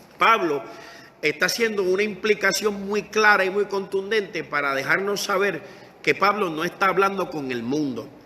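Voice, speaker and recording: Over noticeable background noise, a man speaks in a raised, projected voice at a high pitch with ordinary pitch variation and a moderate pace. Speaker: pastor. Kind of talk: sermon. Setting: Facebook Live stream.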